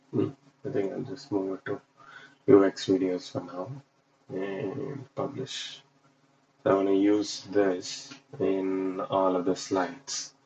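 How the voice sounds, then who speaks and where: A man's very slow speech at a fairly low pitch, with a non-native accent and long, frequent pauses. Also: ordinary pitch variation. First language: not English. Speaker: UX designer livestreamer. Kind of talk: casual livestream while working. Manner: halting, many fillers.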